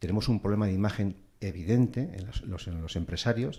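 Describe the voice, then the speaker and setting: The man's pitch is very deep and low, with ordinary variation. His tone is dark and mellow. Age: 50s. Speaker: businessman panelist. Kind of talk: panel debate. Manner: halting.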